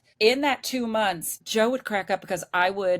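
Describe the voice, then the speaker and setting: The speaker talks at a fairly quick pace in an animated tone, with ordinary pitch variation, a dry, close sound with no echo, and a very clean recording with a silent background. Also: woman. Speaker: retired PE teacher, RV traveler. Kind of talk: casual interview chat.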